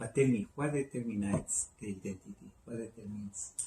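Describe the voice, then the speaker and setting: Somewhat breathy, this man speaks fairly quickly with a Spanish accent, a medium pitch and ordinary pitch variation. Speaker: talk show host, doctor. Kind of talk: talk show interview.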